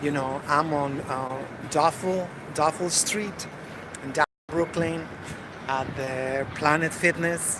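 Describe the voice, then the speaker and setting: A man's fairly high-pitched voice at a fairly slow pace, with fairly even intonation, long and frequent pauses, and noticeable background noise. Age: 50s. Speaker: vlogger. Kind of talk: casual video diary. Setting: gym. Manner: halting, many fillers.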